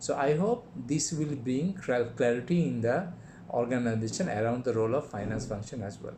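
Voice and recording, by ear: A man speaks in a dark, mellow tone. His pitch variation is ordinary. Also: medium pitch for a man, moderate pace.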